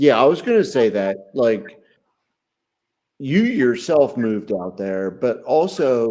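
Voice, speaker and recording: In a very clean recording with a silent background, a man with an American accent talks at a fairly slow pace in a dark, mellow tone. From southeastern Pennsylvania, Chester County. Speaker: podcast co-host. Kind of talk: casual chat.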